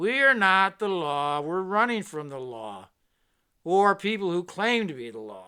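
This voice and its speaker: In a put-on character voice, a man speaks at a moderate pace with a high pitch, very wide pitch swings and big swings in loudness, on a very clean recording with a silent background. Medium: read story.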